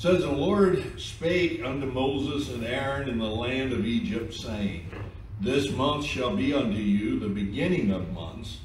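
The voice moves through very wide pitch swings. Light background noise and audible room echo are present. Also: man. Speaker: pastor. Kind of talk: church announcements then scripture reading. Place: church. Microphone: podium.

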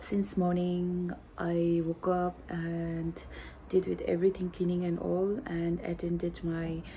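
A woman speaks at a very slow pace, somewhat breathy, with a fairly low pitch and a dark, mellow tone. Light background noise is present. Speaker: vlogger. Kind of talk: casual vlog chat. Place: home room. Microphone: phone near.

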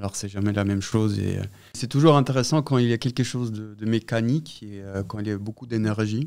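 The voice moves at a fairly quick pace with big swings in loudness and ordinary pitch variation, in a very clean recording with a silent background. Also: man, medium pitch for a man. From Austria, Vienna. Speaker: sound artist. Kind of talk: interview. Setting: exhibition space. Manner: halting.

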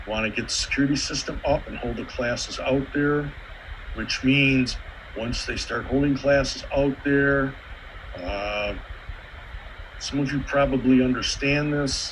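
A man talks at a fairly slow pace against noticeable background noise. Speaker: astronomy club member. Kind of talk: club business meeting. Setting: video call.

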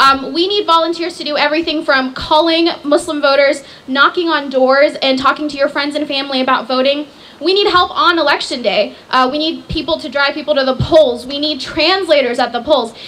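Over noticeable background noise, a woman speaks in a high voice at a fairly quick pace. She has hardly any pauses and ordinary pitch variation. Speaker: nonprofit director. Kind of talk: speech. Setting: stage with audience.

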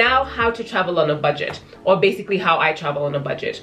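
Faint music plays in the background as a woman speaks very fast with ordinary pitch variation. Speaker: travel vlogger. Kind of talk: casual vlog chat. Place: home room.

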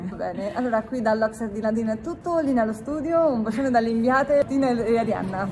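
With lively intonation and a fairly high pitch, a woman talks at a fairly quick pace over clear background noise.

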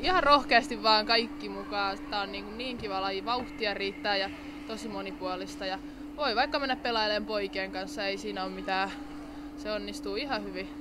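Noticeable background noise lies beneath speech at a moderate pace. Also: woman. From Finland, Orivesi. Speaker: ice hockey player. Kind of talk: casual interview. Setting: ice rink event. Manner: casual, colloquial. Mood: relaxed, friendly. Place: hall. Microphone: handheld.

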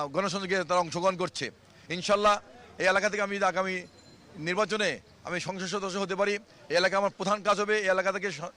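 A man with a high-pitched voice speaks in a raised, projected monotone with flat intonation. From Bangladesh, Dhaka. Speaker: independent parliamentary candidate. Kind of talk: campaign speech to reporter.

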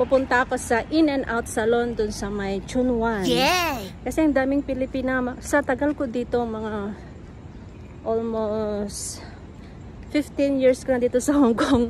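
Over light background noise, a woman talks at a high pitch and fairly slow pace, with ordinary pitch variation and a dry sound with no echo. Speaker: vlogger. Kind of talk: casual vlog chat. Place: street. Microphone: phone near.

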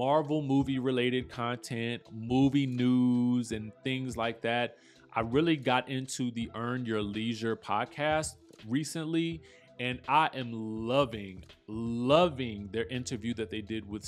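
A man talks at a fairly slow pace with ordinary pitch variation. Faint music plays in the background. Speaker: vlogger. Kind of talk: casual vlog chat. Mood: relaxed, calm. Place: bathroom. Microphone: camera far.

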